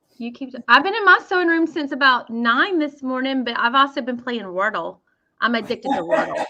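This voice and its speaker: In a strong Southern US accent, a woman uses a raised, projected voice with a bright, sharp tone, a high pitch, very wide pitch swings, and a fairly quick pace. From US South, Mississippi. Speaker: sewing educator. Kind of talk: casual chat.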